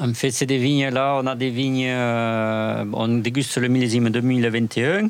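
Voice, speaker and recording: With hardly any pauses and very even loudness, a man speaks very slowly at a medium pitch in a monotone, flat intonation over noticeable background noise. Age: 40s. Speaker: winemaker. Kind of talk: casual interview. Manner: halting.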